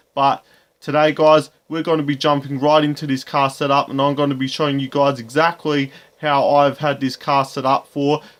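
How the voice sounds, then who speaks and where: Fairly quick, monotone, flat delivery in an Australian accent on a very clean recording with a silent background. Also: man. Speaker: gaming YouTuber. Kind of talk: tutorial.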